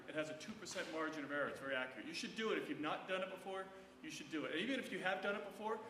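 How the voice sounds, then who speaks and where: Loud and high-pitched, a man talks at a very fast pace with lively intonation, over noticeable background noise and audible room echo. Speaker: doctor and osteoporosis educator. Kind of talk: lecture.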